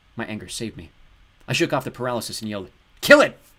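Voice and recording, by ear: A person is reading aloud in a natural voice. Their intonation stays lively.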